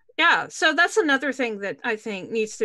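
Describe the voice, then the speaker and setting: A woman with lively intonation and a bright, sharp tone, at a fairly quick pace against a quiet background. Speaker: YouTuber and show host; YouTuber, show host. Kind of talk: casual panel discussion. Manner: laughs often. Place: home room. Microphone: webcam.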